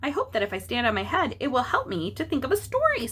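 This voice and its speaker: A woman's put-on character voice at a very fast pace, with light background noise. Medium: read story.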